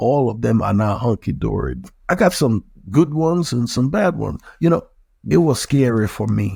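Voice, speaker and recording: A man with a Liberian accent speaks at a moderate pace and medium pitch, his voice somewhat breathy with a dark, mellow tone and very wide pitch swings. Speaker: mayor. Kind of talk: interview.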